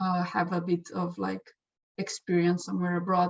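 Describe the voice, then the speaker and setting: A woman with a Slovenian accent. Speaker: exchange student. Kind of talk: testimonial interview. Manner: halting, with fillers.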